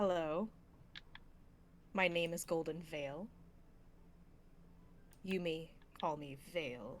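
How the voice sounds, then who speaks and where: A woman uses a put-on character voice, fairly low in pitch, at a very slow pace. Long, frequent pauses break it up, and clear background noise is heard. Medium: actual play. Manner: terse, deadpan, insistent.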